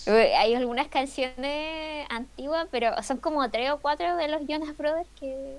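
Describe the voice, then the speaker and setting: A woman's high voice with ordinary pitch variation at a fairly slow pace. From Chile. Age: 20s. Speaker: illustrator and physics student. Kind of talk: casual chat.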